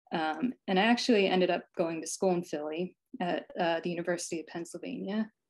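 With an American accent, a woman uses a normal speaking voice, fairly low in pitch with ordinary pitch variation, against a quiet background. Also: fairly quick pace. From New Jersey, US. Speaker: picture book illustrator. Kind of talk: presentation and drawing workshop. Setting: video call. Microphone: video call.

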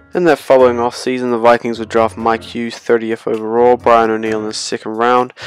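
Over music in the background, a man speaks at a medium pitch in a flat monotone with hardly any pauses. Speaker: sports video creator. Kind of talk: sports retrospective commentary. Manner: casual.

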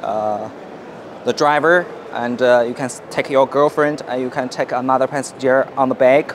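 A man with a Chinese accent speaks at a fairly slow pace with fairly even intonation, the sound dry with no echo and light background noise. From China. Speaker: company representative. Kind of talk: product presentation. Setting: exhibition stand at a motorcycle show. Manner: halting, with fillers. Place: hall. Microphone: phone near.

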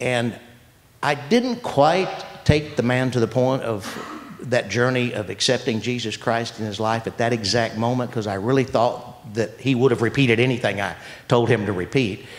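A man talks with an American accent. His pace is moderate and his pitch varies in an ordinary way. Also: medium pitch for a man. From Texas. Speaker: study group member; guest. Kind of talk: testimony. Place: hall. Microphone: handheld.

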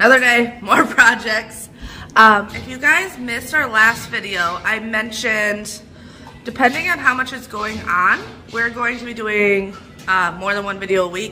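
A woman talks at a moderate pace with ordinary pitch variation and big swings in loudness, faint music playing in the background. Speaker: home renovation vlogger. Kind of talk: casual vlog chat. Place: home room. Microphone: phone near.

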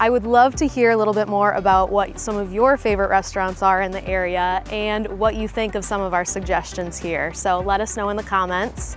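A woman at a fairly quick pace, fairly even intonation, dry sound with no echo, and faint music in the background. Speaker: real estate channel host. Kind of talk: presenter to camera. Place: garden. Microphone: lapel.

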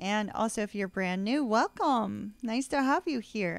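The woman's voice has a dry sound with no echo. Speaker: tarot reader. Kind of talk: casual vlog chat. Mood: warm, cheerful. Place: home room.

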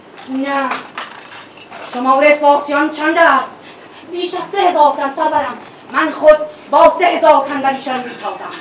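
Against noticeable background noise, a woman speaks in a high pitch with a dramatic tone and fairly even intonation. Her pace is moderate, broken by long, frequent pauses. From Iran. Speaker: traditional Iranian storyteller. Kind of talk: live solo theatrical storytelling performance. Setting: live stage. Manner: dramatic, declamatory.

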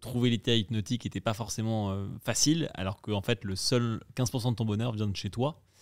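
With an unremarkable speaking voice, a man talks at a moderate pace with hardly any pauses, keeping his medium pitch on fairly even intonation in a very clean recording with a silent background. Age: 30s. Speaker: entrepreneur. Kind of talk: casual chat.

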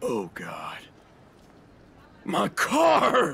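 A man puts on a character voice. It sits high in pitch. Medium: audio drama. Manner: outraged, yelling.

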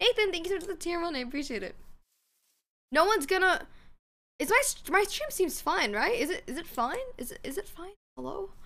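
A woman's raised, projected voice, extremely high in pitch, bright and sharp, with very wide pitch swings, big swings in loudness, a fairly quick pace and long, frequent pauses. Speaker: streamer. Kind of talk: casual gaming livestream chat. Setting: live stream with voice chat. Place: home room.

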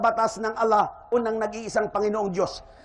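Someone speaks with a Western Visayan accent over noticeable background noise. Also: man. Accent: Ilonggo. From Philippines, Iloilo. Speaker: Islamic preacher. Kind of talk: religious lecture.

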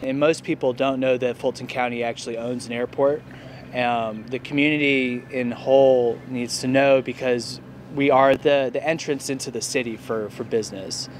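Over light background noise, a man speaks at a moderate pace in a monotone, flat intonation, the sound dry with no echo. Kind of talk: interview answer. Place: street. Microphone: lapel.

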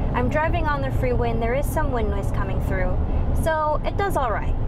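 Loud background noise surrounds a woman who talks at a fairly quick pace. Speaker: car reviewer. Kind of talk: casual review commentary. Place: car. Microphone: lapel.

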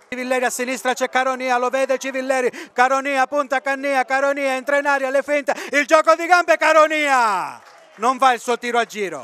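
A man with an extremely high pitch uses a raised, projected voice, moving at a fairly quick pace with fairly even intonation. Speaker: football commentator. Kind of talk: live football match commentary, reading play-by-play over highlights. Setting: voiceover on match highlights video.

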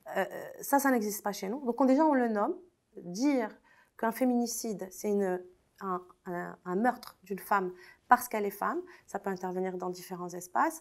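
Fairly high in pitch, a woman talks with lively intonation and long, frequent pauses on a very clean recording with a silent background. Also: moderate pace. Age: 30s. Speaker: lawyer and feminist activist. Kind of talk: interview.

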